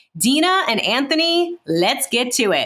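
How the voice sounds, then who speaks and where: Amid noticeable background noise, a woman with an American accent talks at a fairly slow pace, her pitch swinging very widely. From New York City (Brooklyn). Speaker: podcast host, public health scientist. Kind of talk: casual podcast introductions.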